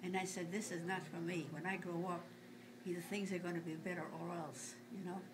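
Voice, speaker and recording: Audible room echo and noticeable background noise surround a woman speaking at a fairly low pitch with fairly even intonation. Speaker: grandmother telling family stories. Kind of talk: casual family interview. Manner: halting.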